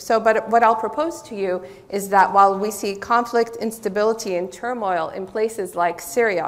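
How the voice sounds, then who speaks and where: Moderate-paced speech from a woman with a fairly high voice, plus audible room echo. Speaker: political science professor. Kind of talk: conference talk. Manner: loud; some hesitations.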